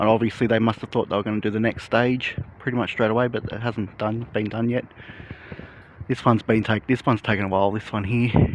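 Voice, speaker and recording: Over noticeable background noise, a man with an Australian accent speaks at a very fast pace, medium in pitch and monotone. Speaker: construction progress vlogger. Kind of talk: casual walking vlog narration. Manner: soft-spoken; hesitant, with fillers.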